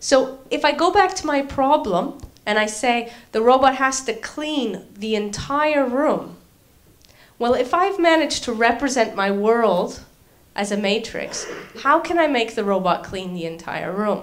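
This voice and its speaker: A woman's high voice at a fairly slow pace, with very wide pitch swings and audible room echo. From Canada. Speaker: university lecturer and robotics researcher. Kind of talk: lecture.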